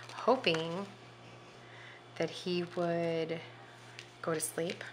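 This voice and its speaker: Soft-spoken and fairly low in pitch, a woman talks over noticeable background noise. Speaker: planner video creator. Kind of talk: casual vlog chat while crafting. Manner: soft-spoken, talking quietly.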